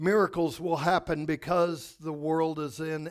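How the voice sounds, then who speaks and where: A man talks at a fairly slow pace in an ordinary speaking voice. His pitch is fairly high, with fairly even intonation. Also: very clean recording, silent background. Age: 50s. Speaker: pastor. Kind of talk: sermon. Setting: church.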